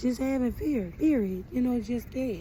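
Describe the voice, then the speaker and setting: Somewhat breathy, with a dark, mellow tone, a woman speaks at a moderate pace with ordinary pitch variation. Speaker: vlogger. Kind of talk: casual monologue. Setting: outdoors in the sun.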